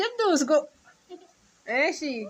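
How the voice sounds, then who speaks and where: A woman speaks with a high pitch. Her voice moves through very wide pitch swings. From Egypt, Suez. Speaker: mother and family channel host. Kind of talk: family quiz game with her children.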